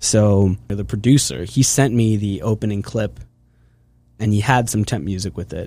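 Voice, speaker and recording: A fairly low male voice with a dark, mellow tone, ordinary pitch variation and a moderate pace, on a very clean recording with a silent background. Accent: American. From US, Pennsylvania (Hershey). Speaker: film composer and university student. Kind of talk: casual interview chat. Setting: studio.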